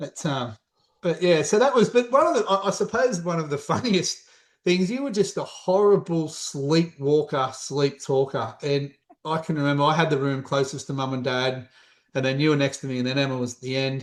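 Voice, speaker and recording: The pace here is moderate. It is a normal speaking voice, with lively intonation. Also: man, fairly high pitch for a man. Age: 40s. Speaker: self-employed sibling of host. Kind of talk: casual chat.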